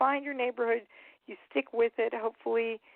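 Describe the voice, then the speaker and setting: A woman with an American accent, fairly high pitch and fairly quick pace. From Maryland, DC area. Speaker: actress. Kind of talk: casual interview chat.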